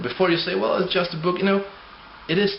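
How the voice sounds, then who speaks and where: A man with a non-native accent speaks in a high voice, with noticeable background noise and audible room echo. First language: not English. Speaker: atheist video blogger. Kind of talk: argumentative video response.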